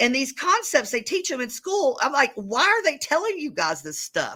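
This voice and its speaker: The voice is raised and projected, with a bright, sharp tone and very wide pitch swings. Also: woman, high pitch for a woman, moderate pace. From US South, north Georgia. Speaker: real estate business owner. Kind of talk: interview.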